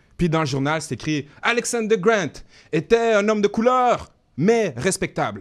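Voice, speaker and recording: This man's voice is high for a man, animated and lively in intonation. He keeps to a fairly slow pace. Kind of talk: radio interview.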